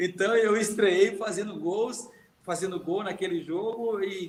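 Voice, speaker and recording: Noticeable background noise sits behind a man who speaks at a high pitch with ordinary pitch variation. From Minas Gerais, Brazil. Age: 50s. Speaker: retired footballer. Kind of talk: interview storytelling.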